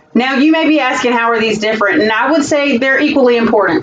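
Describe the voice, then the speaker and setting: A woman with a Southern US accent talks at a fairly quick pace and ordinary pitch variation over noticeable background noise. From US South, South Carolina. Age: 40s. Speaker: school administrator. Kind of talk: job interview presentation. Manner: formal.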